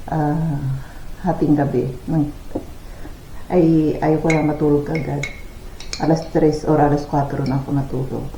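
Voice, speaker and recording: Fairly slow delivery with long, frequent pauses over noticeable background noise. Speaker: vlogger. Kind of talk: casual vlog talk. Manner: halting, with fillers; soft-spoken.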